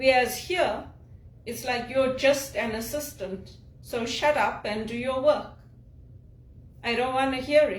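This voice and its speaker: Noticeable background noise sits behind a woman with an RP accent. She speaks at a fairly slow pace with high pitch. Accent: Queen's English. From Zimbabwe. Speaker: executive assistant, speaker and spiritual director. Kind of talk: casual talk to camera.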